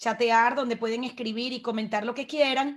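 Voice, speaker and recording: A woman speaks with a Venezuelan accent at a high pitch. Her intonation is monotone and flat. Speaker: webinar host. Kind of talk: webinar moderation. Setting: video call.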